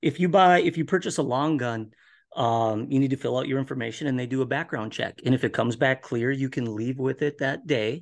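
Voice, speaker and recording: Talking at a fairly quick pace, a man speaks with an Upper Midwest accent. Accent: Upper Midwest (Minnesota). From Minnesota. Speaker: guest, hobby farmer and viewer. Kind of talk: casual interview chat.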